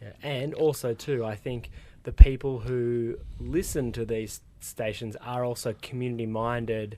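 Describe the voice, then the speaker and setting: A man's medium-pitched voice in an Australian accent, dark and mellow, at a fairly slow pace with fairly even intonation and big swings in loudness. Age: young. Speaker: podcast host. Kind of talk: casual interview chat. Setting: radio studio.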